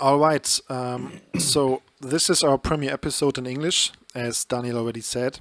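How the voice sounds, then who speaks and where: A man's medium-pitched voice with a German accent, moderate pace and fairly even intonation, dry and close with no echo. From northern Germany. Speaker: podcast co-host. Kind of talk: casual podcast chat.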